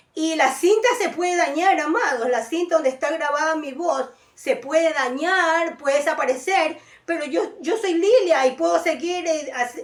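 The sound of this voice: A woman speaks at a fairly slow pace in a high pitch. Her pitch varies in an ordinary way.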